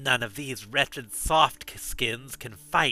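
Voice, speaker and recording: Putting on a character voice, a man hisses in a bored tone at a very slow pace and medium pitch. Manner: hissing, bored, contemptuous.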